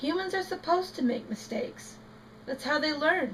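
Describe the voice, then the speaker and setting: In a put-on character voice, a woman speaks high-pitched at a moderate pace over clear background noise. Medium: read story.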